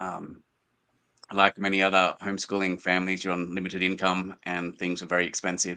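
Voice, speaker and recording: A man with an Australian accent speaks in a bright, sharp tone. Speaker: small book publisher. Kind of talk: interview.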